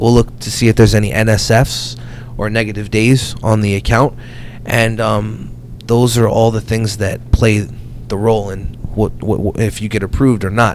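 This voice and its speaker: A man with an American accent talks at a moderate pace and fairly low pitch, his intonation fairly even, over noticeable background noise. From New Jersey. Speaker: business lending broker. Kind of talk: casual interview chat. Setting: in person, Hamilton, New Jersey.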